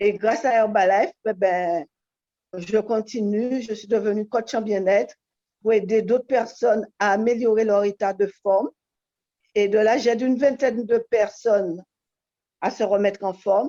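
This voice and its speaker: Pausing long and often, a woman speaks fairly slowly at a fairly high pitch with fairly even intonation and a dark, mellow tone, the sound dry and close with no echo. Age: 60s. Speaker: wellness coach. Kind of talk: testimony.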